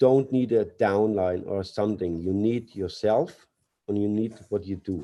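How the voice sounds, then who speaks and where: A man's dark, mellow voice at fairly low pitch, fairly slow, with ordinary pitch variation. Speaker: company CEO. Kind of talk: webinar speech. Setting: webinar. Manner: halting, hesitant.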